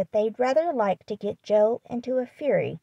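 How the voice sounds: Pitch moves in an ordinary way in a natural reading voice. Behind it, the background stays quiet.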